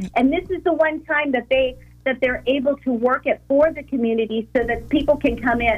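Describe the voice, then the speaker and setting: Speaking at a fairly quick pace, a woman with an American accent has a high pitch and ordinary pitch variation. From Sacramento area, California. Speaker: festival organizer. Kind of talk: radio interview.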